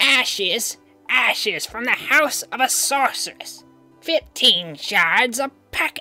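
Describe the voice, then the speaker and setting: Over faint background music, a woman in a put-on character voice speaks very slowly at a high, shrill pitch. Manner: screeching, hawking wares.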